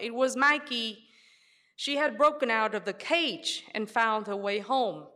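A woman with a Vietnamese accent speaks at a very slow pace in a bright, sharp tone. Her intonation is lively, and the recording is very clean with a silent background. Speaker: history professor. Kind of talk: live storytelling. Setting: stage with audience.

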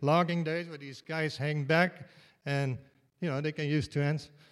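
A man with a Dutch accent, fairly high in pitch, at a moderate pace, on a very clean recording with a silent background. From Netherlands. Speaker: retired state worker, tour bus driver. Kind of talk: live storytelling. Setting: stage with audience.

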